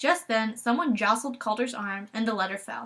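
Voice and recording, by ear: With pitch that rises and falls in an ordinary way, someone reads out loud in a natural voice.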